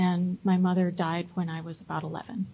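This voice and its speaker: The speaker has a somewhat breathy voice with an American accent and monotone, flat intonation. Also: woman. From US Midwest (Chicago, Michigan). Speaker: local politician, mayoral candidate. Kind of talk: candidate debate. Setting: public debate event with audience.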